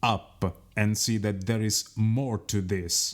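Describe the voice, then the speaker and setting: A man with a fairly low pitch keeps his intonation fairly even. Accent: Italian. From Italy. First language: Italian. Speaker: radio host. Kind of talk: radio interview.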